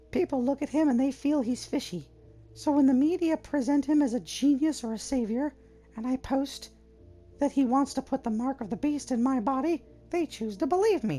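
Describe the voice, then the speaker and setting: A high-pitched, put-on character voice at a moderate pace, with music in the background. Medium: game stream. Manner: argumentative, opinionated.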